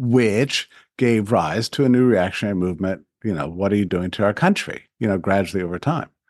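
Over a quiet background, a man with an unremarkable speaking voice talks at a fairly quick pace, his pitch fairly low with ordinary variation. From Texas, El Paso. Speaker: think tank president. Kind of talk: interview.

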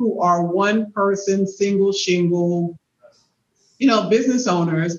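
An unremarkable speaking voice from a woman at a medium pitch and moderate pace. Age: 50s. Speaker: podcast host. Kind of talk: interview.

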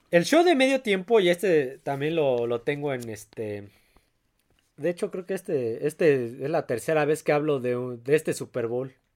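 Lively in intonation and fairly slow in pace, a man with a fairly high pitch speaks in an ordinary speaking voice on a very clean recording with a silent background. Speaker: sports podcast host. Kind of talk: casual chat.

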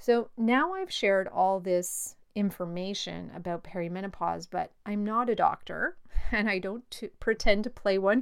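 In an ordinary speaking voice, a woman talks fairly slowly at medium pitch with ordinary pitch variation and hardly any pauses, on a very clean recording with a silent background. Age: 50s. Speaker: life coach and podcast host. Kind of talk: solo educational monologue.

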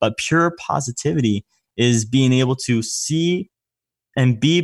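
An ordinary speaking voice with an American accent and ordinary pitch variation, in a very clean recording with a silent background. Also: man. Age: 20s. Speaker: sales entrepreneur. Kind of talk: interview.

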